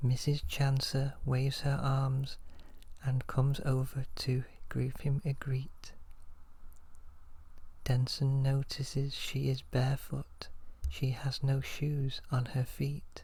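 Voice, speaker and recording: The speaker is soft-spoken and goes at a very slow pace. Long pauses come often. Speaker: ASMR storyteller. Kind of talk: soft-spoken ASMR story reading.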